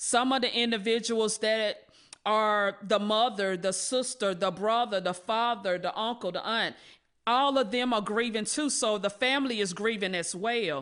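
A woman talks at a moderate pace with an American accent. Her pitch varies an ordinary amount, and the background is quiet. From North Carolina, Rocky Mount. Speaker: reentry program manager. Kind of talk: podcast interview. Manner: halting, many fillers.

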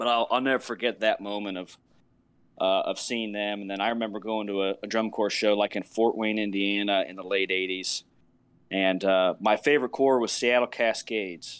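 A man's normal speaking voice with an American accent, fairly low-pitched, at a moderate pace with fairly even intonation, on a very clean recording with a silent background. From northern Virginia, US. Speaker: military musician and drum corps judge. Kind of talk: casual interview.

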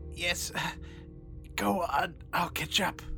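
Someone performs a put-on character voice. Clear music plays in the background.

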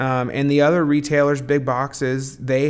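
A man's medium-pitched voice in an American accent, monotone and flat, at a moderate pace. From southern Indiana. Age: 20s. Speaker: hardware retail manager. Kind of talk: interview.

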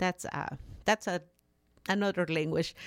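A woman with a Mexican accent and vocal fry, on a very clean recording with a silent background. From Mexico. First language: Spanish. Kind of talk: casual interview. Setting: studio.

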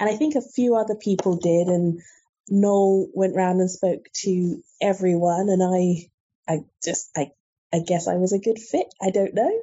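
Somewhat breathy, a woman speaks fairly slowly at a medium pitch, keeping her loudness very even. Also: ordinary pitch variation. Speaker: book editor and reviewer. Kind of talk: interview.

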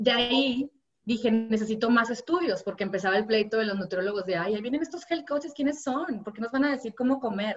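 At a fairly quick pace, a woman speaks in a fairly high pitch with lively intonation. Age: 30s. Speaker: health coach. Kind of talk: interview conversation. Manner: animated.

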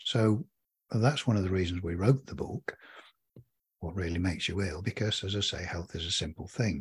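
A somewhat breathy voice moves at a fairly quick pace in a very clean recording with a silent background. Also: man, very deep, low pitch for a man, ordinary pitch variation. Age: 70s. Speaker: author. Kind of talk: interview.

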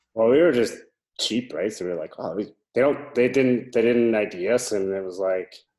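A man with a Canadian accent has an ordinary speaking voice at a medium pitch. He talks at a fairly quick pace with lively intonation. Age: 30s. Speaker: brewmaster. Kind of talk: casual chat.

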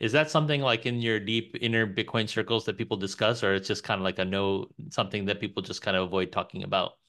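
A man with a New York accent talks at a very fast pace with hardly any pauses. His voice has fairly low pitch and a bright, sharp tone over a quiet background. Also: ordinary pitch variation. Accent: New York American. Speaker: podcast host. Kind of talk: casual interview.

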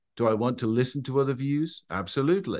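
A man with an English accent talks at a fairly quick pace. His intonation is lively, and the background is quiet. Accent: English accent, sounds foreign in the US. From England. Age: 50s. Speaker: pastor and wedding officiant. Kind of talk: interview.

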